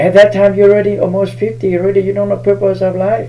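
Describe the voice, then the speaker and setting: A man speaks at a fairly quick pace in a fairly high voice, with noticeable background noise behind him. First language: Hmong. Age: 60s. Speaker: spiritual healer. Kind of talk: live stream talk.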